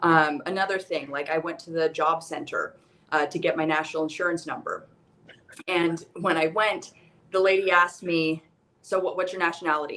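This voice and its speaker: A plain, everyday voice from a woman with an American accent, fairly low pitch, fairly even intonation and a moderate pace. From United States. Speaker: guest working abroad. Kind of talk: casual chat.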